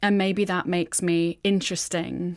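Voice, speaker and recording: At a very slow pace, a woman speaks with a fairly low pitch and fairly even intonation in a very clean recording with a silent background. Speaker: person who stammers. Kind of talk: interview.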